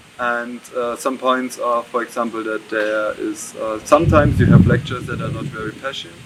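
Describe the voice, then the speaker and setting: A man with a German accent speaks at a moderate pace with hardly any pauses. His medium pitch has fairly even intonation, and noticeable background noise is present. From Germany. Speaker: exchange student. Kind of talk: interview. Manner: halting.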